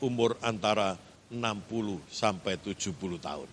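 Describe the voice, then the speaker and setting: A bright, sharp tone with vocal fry comes through at a fairly slow pace. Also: man. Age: 50s. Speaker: pastor. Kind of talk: sermon.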